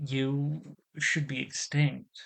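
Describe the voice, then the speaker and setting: A man puts on a character voice. It sits at a fairly high pitch with monotone, flat intonation. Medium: read story. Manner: hesitant, halting.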